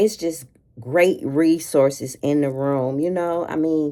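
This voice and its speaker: A woman's very deep, low voice, dark and mellow in tone, with ordinary pitch variation. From US Midwest, Gary, Indiana. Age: 50s. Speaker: lifestyle vlogger. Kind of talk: casual get-ready-with-me chat. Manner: chatty, with frequent fillers.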